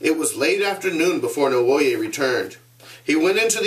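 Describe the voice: The clip is plain reading aloud. Words are read out simply.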